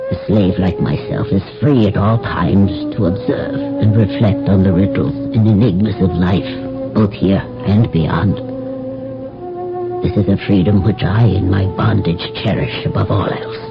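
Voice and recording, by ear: Over clear music in the background, a man does a put-on character voice, low-pitched and fairly slow, with vocal fry and very wide pitch swings.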